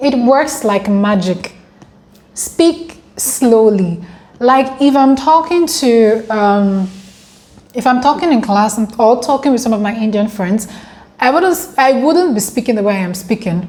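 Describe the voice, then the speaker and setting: Speaking at a fairly slow pace in an African accent, a woman uses a fairly high pitch and lively intonation. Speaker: international student vlogger. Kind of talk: casual vlog.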